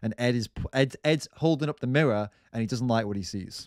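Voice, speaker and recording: The sound is dry and close with no echo, a very clean recording with a silent background, as a man talks at a fairly quick pace. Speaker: vegan streamer reacting to debate videos. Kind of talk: live stream reaction commentary. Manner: pitch rises when worked up; animated, repetitive false starts.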